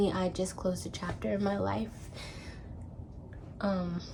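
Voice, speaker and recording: The woman's delivery is fairly slow. Her voice carries audible echo from the room. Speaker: vlogger. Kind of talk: personal vlog monologue.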